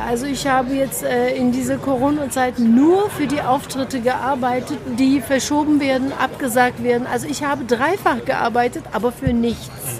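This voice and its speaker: Audible room echo and noticeable background noise surround a woman speaking at a moderate pace. Her high voice swings very widely in pitch. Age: 50s. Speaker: actress and director. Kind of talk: casual interview.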